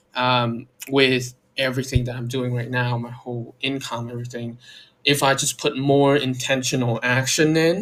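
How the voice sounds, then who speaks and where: A man delivers his words in a monotone, flat intonation at a fairly slow pace. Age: 20s. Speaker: vlogger. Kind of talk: personal vlog monologue. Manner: halting, many fillers.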